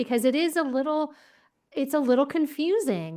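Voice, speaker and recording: The speaker is a woman with an American accent. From United States. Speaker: podcast host. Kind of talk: podcast interview. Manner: casual, affirming.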